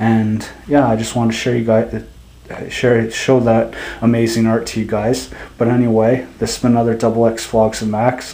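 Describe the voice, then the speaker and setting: Over noticeable background noise, a man talks at a moderate pace in a medium pitch with monotone, flat intonation. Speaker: vlogger. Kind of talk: casual vlog.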